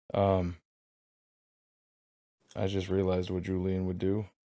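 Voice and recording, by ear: A man's low-pitched, dark, mellow voice at a slow pace, monotone with flat intonation.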